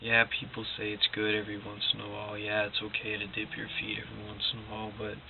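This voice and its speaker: A quiet man's voice over noticeable background noise. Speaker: motivational vlogger. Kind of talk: casual motivational monologue. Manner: quiet, low-energy; halting, repetitive.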